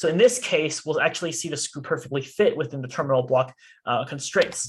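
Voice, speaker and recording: Lively intonation and a fairly high pitch from a somewhat breathy man at a fairly quick pace. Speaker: student robotics team workshop instructor. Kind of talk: tutorial. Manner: fast.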